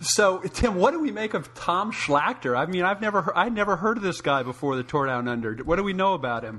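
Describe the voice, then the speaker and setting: Talking at a fairly quick pace with hardly any pauses, a high-voiced man sounds animated, his pitch swinging very widely over noticeable background noise. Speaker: podcast host. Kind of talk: casual chat.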